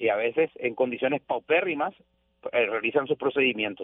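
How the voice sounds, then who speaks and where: This man's voice swings very widely in pitch. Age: 40s. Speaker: radio journalist. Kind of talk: radio interview.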